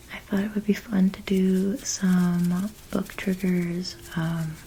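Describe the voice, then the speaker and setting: A soft-spoken woman talks in a calm tone at medium pitch with fairly even intonation. Noticeable background noise can be heard. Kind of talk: soft-spoken ASMR reading. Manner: soft-spoken, calm.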